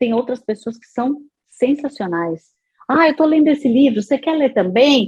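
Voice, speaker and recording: A woman speaks in a high pitch at a moderate pace. Her intonation is lively, with big swings in loudness. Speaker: radio announcer and psychologist. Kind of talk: interview answer.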